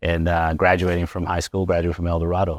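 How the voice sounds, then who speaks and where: In a Spanish accent, a man with a very deep, low pitch talks in a monotone with flat intonation, the sound dry and close with no echo and the background quiet. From Las Vegas, Nevada, Mexican-American family. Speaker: chiropractor. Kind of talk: interview. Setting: chiropractic office, live.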